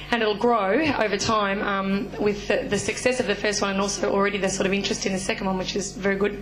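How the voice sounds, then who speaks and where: Talking very fast with hardly any pauses, a woman with an Australian accent keeps her loudness very even and her intonation flat and monotone, over noticeable background noise and audible room echo. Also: medium pitch for a woman. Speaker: activist educator leading a study tour. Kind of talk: public talk. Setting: forum with audience. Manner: hesitant, many fillers.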